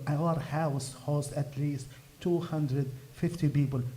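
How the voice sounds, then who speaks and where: With audible room echo, a man speaks in a fairly high voice with an Arabic accent. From Gaza, Palestine. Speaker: activist. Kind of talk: speech at a fundraiser event. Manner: halting.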